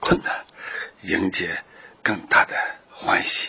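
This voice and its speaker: Noticeable background noise sits behind this recording. A man speaks at a very slow pace. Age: 60s. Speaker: journalist. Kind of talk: interview.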